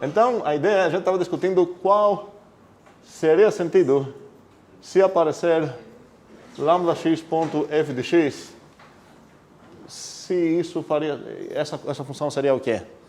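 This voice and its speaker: The voice moves at a fairly slow pace with long, frequent pauses and ordinary pitch variation, with noticeable background noise throughout. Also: man, high pitch for a man. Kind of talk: teaching, explaining math.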